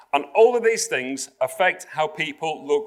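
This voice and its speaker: A man speaks with a Yorkshire accent. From South Yorkshire, England. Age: 50s. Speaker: public speaker. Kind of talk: keynote talk to corporate audience. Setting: stage with live audience at corporate venue.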